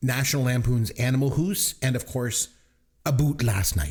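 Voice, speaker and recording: A man with a Canadian accent speaks at medium pitch and a moderate pace. His tone is playful and somewhat breathy. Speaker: movie review podcast host. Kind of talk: casual chat. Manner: joking, playful.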